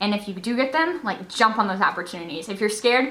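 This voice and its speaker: A woman's very fast, fairly high-pitched speech with lively intonation, amid noticeable background noise. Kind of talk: vlog exhortation to camera. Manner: animated.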